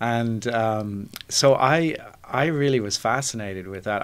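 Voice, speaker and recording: A man speaks in a fairly low pitch with an Irish accent. His pitch varies in an ordinary way. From Ireland, Dublin. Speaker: podcast guest, architect. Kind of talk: interview. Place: studio. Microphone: studio mic.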